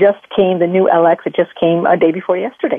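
A woman with an ordinary speaking voice at a fairly quick pace. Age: 50s. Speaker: natural health doctor and author. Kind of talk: radio interview.

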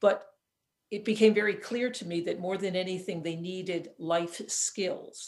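With an American accent, a woman speaks at a fairly slow pace in an unremarkable speaking voice, medium in pitch and fairly even in intonation. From upstate New York. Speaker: physician and author. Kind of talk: casual chat.

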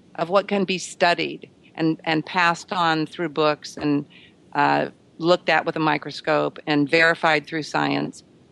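A woman speaks at a fairly slow pace in a fairly low pitch, against a quiet background. Hers is a plain, everyday voice. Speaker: author. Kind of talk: radio interview.

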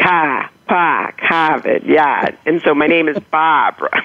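A woman's very deep, low voice in a slight Boston accent, at a fairly slow pace with ordinary pitch variation. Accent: slight Boston accent, non-rhotic. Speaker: author. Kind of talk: interview anecdote.

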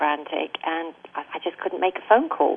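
Speaking with an English accent, a woman uses a fairly low pitch, ordinary pitch variation and a fairly quick pace. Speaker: denied immigrant. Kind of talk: interview.

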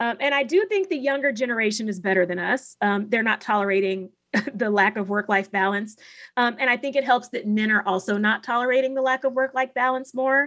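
A woman's unremarkable speaking voice, fairly high in pitch, with ordinary pitch variation and a fairly quick pace. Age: 40s. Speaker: law professor and podcast host. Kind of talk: casual interview discussion.

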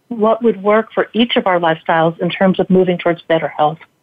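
Intonation stays fairly even in what is an unremarkable speaking voice. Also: woman. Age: 60s. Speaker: cancer survivor and tech entrepreneur. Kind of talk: casual interview. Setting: radio broadcast.

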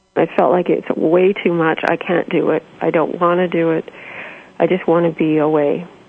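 A woman with a fairly low pitch speaks at a moderate pace in a monotone, flat intonation. Noticeable background noise runs behind her. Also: very even loudness. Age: 50s. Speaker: spiritual author. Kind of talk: interview.

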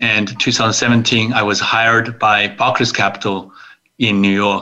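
At a very slow pace, a man speaks with a fairly low pitch, a bright, sharp tone and monotone, flat intonation. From China, Suzhou near Shanghai. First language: Chinese. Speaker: investor, attorney and author. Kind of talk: interview.

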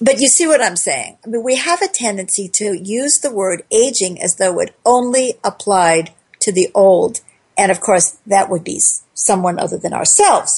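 Somewhat breathy and at a medium pitch, a woman speaks at a moderate pace with lively intonation. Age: 60s. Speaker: talk radio host. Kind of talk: call-in radio talk show.

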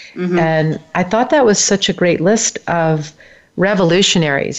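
A woman speaks at a moderate pace in an unremarkable speaking voice, with ordinary pitch variation. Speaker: radio host. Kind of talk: interview.

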